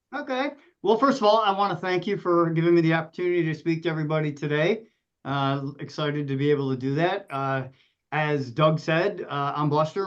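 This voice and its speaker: A plain, everyday voice from a man, fairly high in pitch, fairly quick, with ordinary pitch variation. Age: 60s. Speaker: emergency dispatch director. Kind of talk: podcast panel discussion.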